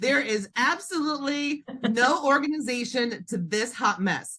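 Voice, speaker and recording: Raising and projecting her voice, a woman speaks with a high pitch, a bright, sharp tone and lively intonation. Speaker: dental clinician and entrepreneur. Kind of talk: podcast interview answer. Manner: fast-talking.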